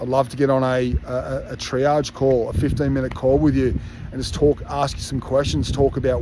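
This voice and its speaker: Against noticeable background noise, a man in an Australian accent talks with fairly even intonation. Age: 50s. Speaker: fitness coach. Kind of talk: casual monologue to online community. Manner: halting, many filler words.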